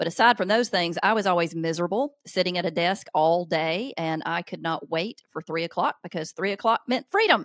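A woman with a Southern US accent at a fairly low pitch, at a fairly quick pace with hardly any pauses. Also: ordinary pitch variation. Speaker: author and parenting speaker. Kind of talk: casual interview conversation.

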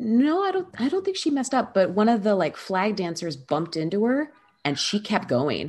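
A woman's somewhat breathy voice at a medium pitch makes very wide pitch swings against a quiet background. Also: moderate pace. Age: 30s. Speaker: voiceover artist and performer. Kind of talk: casual chat.

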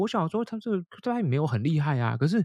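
Somewhat breathy and at a very fast pace, a man speaks with lively intonation in a dry, close sound with no echo. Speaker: English teacher and podcaster. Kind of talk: casual interview chat.

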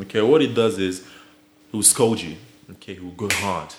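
A man speaks over noticeable background noise. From Nigeria. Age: young. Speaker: podcast guest. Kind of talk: casual chat.

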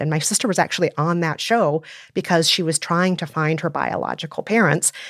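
A woman with an American accent, very deep and low in pitch, at a fairly quick pace with ordinary pitch variation, in a dry, close sound with no echo and a very clean recording with a silent background. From Minnesota, US. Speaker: podcast host and film commentator. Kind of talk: casual panel discussion.

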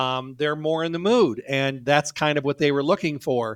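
A fairly high-pitched man at a fairly quick pace, in a very clean recording with a silent background. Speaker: natural health educator and radio veteran. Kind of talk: interview. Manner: engaging, lively.

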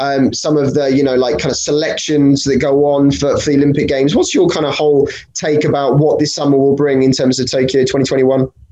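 A man with a British accent talks at a fairly quick pace with hardly any pauses, his fairly high pitch held in a monotone, flat intonation at very even loudness. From Britain. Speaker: podcast host and fencing coach. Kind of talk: casual interview chat. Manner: halting with fillers.

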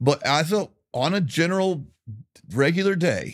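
This very clean recording has a silent background and features a man speaking with an American accent. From Tampa, Florida. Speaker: podcast host and country musician. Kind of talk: casual interview about grief and faith. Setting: studio.

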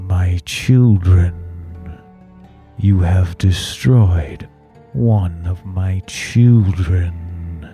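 A man puts on a character voice with a very deep, low pitch, ordinary pitch variation and a very slow pace, while faint music plays in the background. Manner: eerie, ominous.

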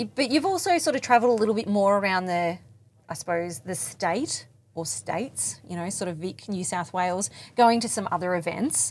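This woman has an Australian accent. Her pitch sits in the medium range. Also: lively intonation, fairly quick pace. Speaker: podcast host. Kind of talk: interview; scripted narration. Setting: mobile podcast van at a field day.

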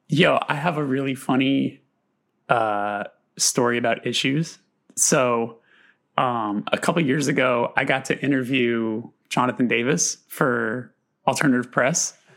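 This man has an ordinary speaking voice at medium pitch with ordinary pitch variation. He talks at a fairly slow pace with very even loudness. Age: 30s. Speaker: podcast host. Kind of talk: casual chat.

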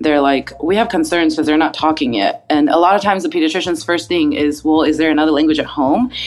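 A woman speaks in a very deep, low voice with noticeable background noise behind her. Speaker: speech therapist. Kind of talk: casual interview, expert advice.

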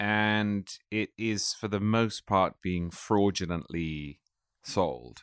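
A man with an English accent speaks at a very slow pace in a fairly low voice with ordinary pitch variation, recorded very cleanly against a silent background with a dry, close sound and no echo. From England. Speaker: political writer and editor. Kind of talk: interview conversation.

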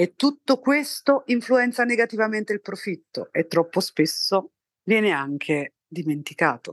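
Against a quiet background, a woman at a medium pitch talks at a moderate pace with very wide pitch swings. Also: dry, close sound with no echo. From southern Italy, Naples area. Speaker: textile chemist and company founder. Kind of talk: scripted narration.

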